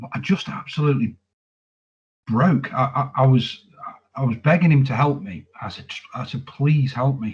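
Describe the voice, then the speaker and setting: A man's somewhat breathy, medium-pitched voice at a moderate pace, with ordinary pitch variation, big swings in loudness and long, frequent pauses. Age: 40s. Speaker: army veteran. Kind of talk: testimony. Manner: halting, frequent repetitions.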